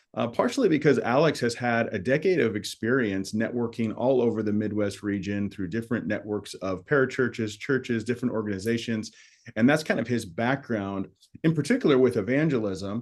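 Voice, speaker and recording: A man with a plain, everyday voice of medium pitch, at a fairly quick pace with ordinary pitch variation. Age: 40s. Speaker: podcast host, ministry leader. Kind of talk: casual podcast chat.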